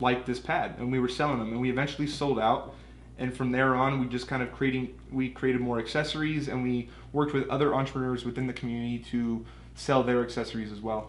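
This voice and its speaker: A man with a Californian accent and medium pitch, very fast and monotone with flat intonation, in audible room echo. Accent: Californian American English. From US West Coast, Southern California. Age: 20s. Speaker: business owner. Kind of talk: casual interview.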